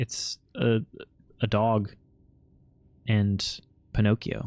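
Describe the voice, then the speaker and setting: Dry and close with no echo, a man with an American accent speaks at a very slow pace. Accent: nondescript American. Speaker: game streamer. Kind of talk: live gameplay commentary. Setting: live stream.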